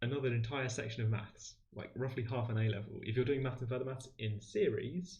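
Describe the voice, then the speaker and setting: A man with a medium pitch talks at a fairly quick pace with hardly any pauses, a somewhat breathy voice and fairly even intonation, and audible room echo surrounds him. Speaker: maths livestream host and tutor. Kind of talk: livestream maths tutorial. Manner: fast.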